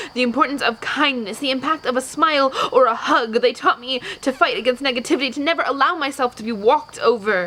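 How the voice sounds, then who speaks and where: In a raised, projected voice, a woman speaks at a high pitch and a fairly quick pace. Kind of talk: poetry reading.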